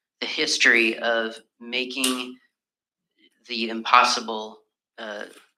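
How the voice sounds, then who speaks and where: Amid audible room echo, a man with a medium pitch speaks very slowly in a monotone, flat intonation, with long, frequent pauses. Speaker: member of the public making a submission. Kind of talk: public submission at council hearing. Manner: casual, hesitant with fillers.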